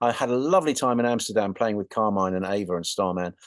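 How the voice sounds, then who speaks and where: A man with an English accent talks at a very fast pace. The sound is dry and close with no echo, and the background is quiet. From England. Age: 60s. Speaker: rock guitarist. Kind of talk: interview. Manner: halting.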